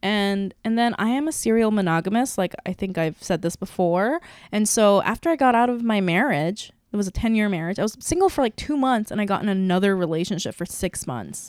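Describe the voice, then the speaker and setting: In a very clean recording with a silent background, a woman speaks at a medium pitch. Her tone is animated and her intonation lively. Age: 30s. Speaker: podcast host. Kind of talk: casual chat. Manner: loud.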